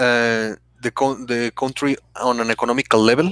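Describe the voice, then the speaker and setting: In a dry, close recording with no echo, a man with a Spanish accent speaks at a moderate pace and a medium pitch, with fairly even intonation. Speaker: podcast co-host. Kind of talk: casual chat. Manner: halting, many false starts.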